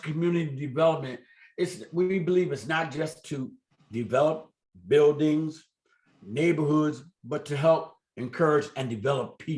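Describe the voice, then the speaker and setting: A plain, everyday voice, male and fairly high-pitched, at a moderate pace and with ordinary pitch variation. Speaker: community development organization leader. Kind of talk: community meeting update.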